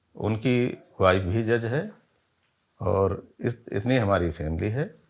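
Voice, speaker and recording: A man is talking, his pitch varying in an ordinary way. The recording is very clean and the background is silent. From Lucknow region, Uttar Pradesh, India. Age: 60s. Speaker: retired civil servant, viewer sharing health experience. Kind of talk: interview testimony. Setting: at home.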